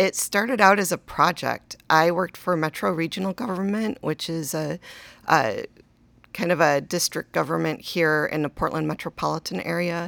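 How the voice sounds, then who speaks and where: A woman talks at a moderate pace with ordinary pitch variation and vocal fry. The recording is very clean and dry, close with no echo, over a silent background. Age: 50s. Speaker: cemetery executive director. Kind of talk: interview. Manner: hesitant, many fillers.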